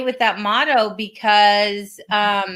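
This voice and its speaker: A woman speaks with a bright, sharp tone. The recording is very clean, with a silent background. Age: 60s. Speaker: podcast co-host, flow coach. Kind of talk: casual chat.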